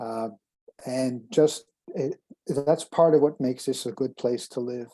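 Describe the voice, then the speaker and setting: In a Montreal accent, a man speaks at a fairly slow pace with a medium pitch. His tone is dark and mellow, with ordinary pitch variation. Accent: Montreal anglophone Canadian English. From Quebec (Montreal). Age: 70s. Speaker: former school board leader. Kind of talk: interview. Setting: video call. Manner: halting.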